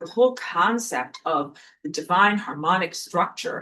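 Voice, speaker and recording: In a New York accent, the voice has a bright, sharp tone, very wide pitch swings and a fairly slow pace. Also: woman. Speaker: spiritual teacher. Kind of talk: lecture. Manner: casual, conversational with filler words.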